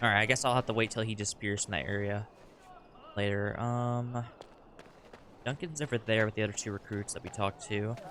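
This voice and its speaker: Music plays behind a man speaking at a fairly quick pace. His pitch is fairly low and his intonation fairly even. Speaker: video game streamer. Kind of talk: gameplay commentary. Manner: fast.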